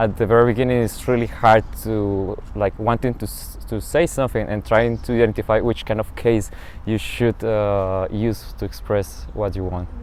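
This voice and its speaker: Here a man speaks with a Spanish accent at a fairly low pitch. His pace is moderate. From Colombia. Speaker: international master's student. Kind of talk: interview monologue.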